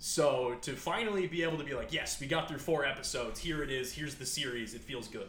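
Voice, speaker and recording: The speaker talks at a very fast pace in an animated tone with ordinary pitch variation. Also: man, fairly high pitch for a man. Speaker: podcast host. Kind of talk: casual comedic banter podcast. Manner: animated, joking.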